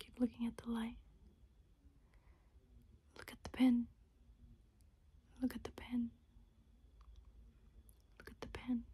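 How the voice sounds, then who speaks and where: Soft-spoken and calm, a woman talks in a gentle tone at a fairly slow pace, with long, frequent pauses. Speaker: ASMR creator. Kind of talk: ASMR soft-spoken instruction video. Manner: soft-spoken, calm, gentle.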